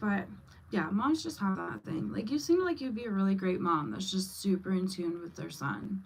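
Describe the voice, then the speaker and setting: A woman speaks at a medium pitch and a moderate pace. Her voice is somewhat breathy, with lively intonation. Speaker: livestreamer and mom. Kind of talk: casual livestream chat. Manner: stumbling when excited.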